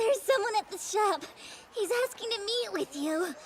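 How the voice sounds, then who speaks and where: A woman puts on a character voice at an extremely high pitch. She keeps a moderate pace over clear background noise. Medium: fan dub. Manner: lively, eager.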